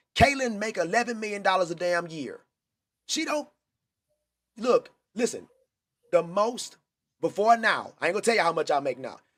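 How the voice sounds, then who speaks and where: A man speaks at a high pitch with lively intonation. The recording is very clean, with a silent background. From Texas, Houston. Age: 40s. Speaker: sports talk show host. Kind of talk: casual chat. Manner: animated.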